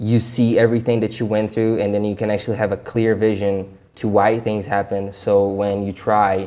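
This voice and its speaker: A man speaks at a moderate pace. His voice is medium in pitch with a dark, mellow tone. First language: not English. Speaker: self-help vlogger. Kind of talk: casual vlog commentary. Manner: stuttering, halting; casual, talkative.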